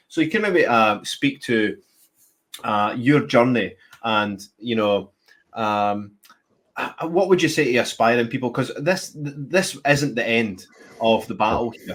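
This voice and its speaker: A man with a Scottish accent, medium pitch and lively intonation, at a fairly slow pace. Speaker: show host. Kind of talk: interview. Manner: halting.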